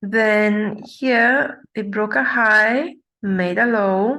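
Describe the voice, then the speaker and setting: A woman speaks very slowly with a non-native accent, her tone bright and sharp. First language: not English. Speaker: forex trader. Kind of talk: tutorial. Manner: halting, many fillers.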